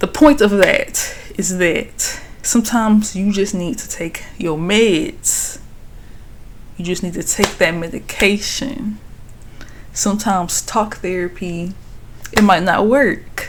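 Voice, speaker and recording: A woman at a very slow pace, with big swings in loudness and audible room echo. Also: medium pitch for a woman, ordinary pitch variation. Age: 20s. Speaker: vlogger. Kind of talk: personal vlog reflection. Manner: casual.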